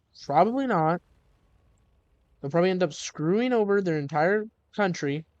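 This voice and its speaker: A man's voice sits high in pitch, with lively intonation. His pace is fairly slow. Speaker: gaming and history video creator. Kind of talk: casual commentary monologue. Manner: rambling, halting.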